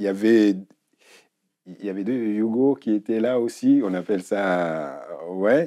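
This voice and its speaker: A man speaks at a very slow pace with long, frequent pauses and big swings in loudness. His tone is dark and mellow, and his pitch varies in an ordinary way. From Africa. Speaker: former footballer. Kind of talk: interview. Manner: hesitant.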